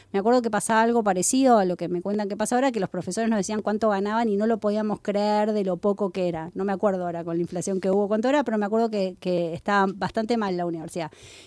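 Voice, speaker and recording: Against a very clean, silent background, a woman of medium pitch speaks at a very fast pace with hardly any pauses, fairly even intonation and a dark, mellow tone. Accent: Rioplatense. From Argentina, Buenos Aires. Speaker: professor. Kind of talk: interview.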